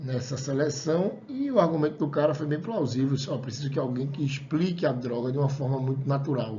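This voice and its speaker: A man's fairly quick speech, fairly high in pitch with ordinary pitch variation, amid noticeable background noise and audible room echo. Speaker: college lecturer. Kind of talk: lecture. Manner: fast; casual, conversational.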